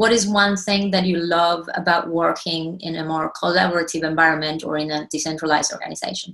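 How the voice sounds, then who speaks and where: Talking very fast with hardly any pauses, a woman with an Argentine accent keeps a fairly low pitch and fairly even intonation. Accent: Argentinian. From Argentina. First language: Spanish. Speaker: cooperative member and consultant. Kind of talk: presentation.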